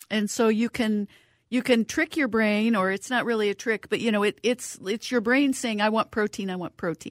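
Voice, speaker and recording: A woman with an ordinary speaking voice talks at a moderate pace and fairly high pitch with ordinary pitch variation, recorded dry and close with no echo on a very clean track with a silent background. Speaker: cookbook author. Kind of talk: radio interview.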